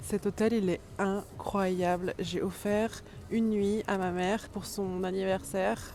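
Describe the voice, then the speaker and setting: A woman's monotone, flat delivery at a very slow pace. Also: medium pitch for a woman. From France, Dijon (Burgundy). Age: 30s. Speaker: vlogger. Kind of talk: casual vlog talk. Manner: mumbling, poorly articulated.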